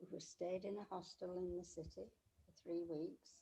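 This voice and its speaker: A woman's fairly low, dark, mellow voice with vocal fry, fairly slow pace and fairly even intonation. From England. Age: 80s+. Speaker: interviewee, host's grandmother. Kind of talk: casual interview.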